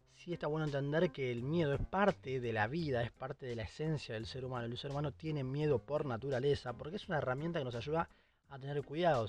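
A man speaks very fast with a fairly high pitch. His pitch variation is ordinary. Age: 20s. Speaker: podcast host. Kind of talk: solo monologue podcast. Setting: recording in a closet at home.

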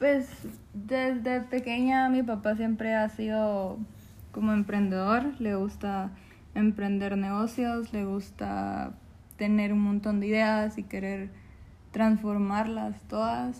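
A woman's somewhat breathy, medium-pitched voice at a very slow pace, with fairly even intonation. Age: 20s. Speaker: call center worker. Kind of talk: interview.

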